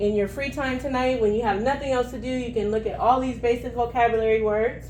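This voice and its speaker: A woman's high-pitched voice at a fairly quick pace, ordinary pitch variation and audible room echo around it. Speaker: teacher trainer leading a professional development session. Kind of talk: workshop presentation.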